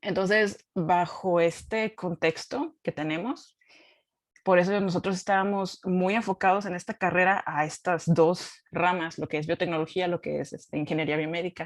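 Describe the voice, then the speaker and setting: In a Baja California accent, a woman speaks at a moderate pace with a fairly low pitch and fairly even intonation on a very clean recording with a silent background. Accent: Baja California Mexican Spanish. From Mexico, Baja California (Ensenada). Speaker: scientist. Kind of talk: talk at a forum. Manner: casual with many fillers.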